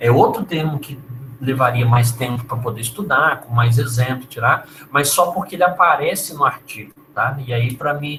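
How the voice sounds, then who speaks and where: A man talks at moderate speed in an unremarkable speaking voice. His medium pitch shows ordinary variation. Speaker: university lecturer. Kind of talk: lecture.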